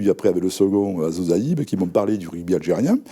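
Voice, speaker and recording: At a fairly quick pace, a man with a Toulouse accent talks at a fairly low pitch and with ordinary pitch variation. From France, Toulouse. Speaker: rugby federation vice-president. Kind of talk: interview. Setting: studio. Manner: halting, many fillers.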